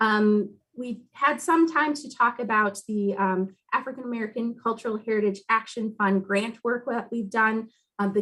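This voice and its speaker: With an ordinary speaking voice, a woman holds her fairly high pitch to fairly even intonation while keeping a moderate pace. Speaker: heritage commission staff member. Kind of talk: meeting presentation.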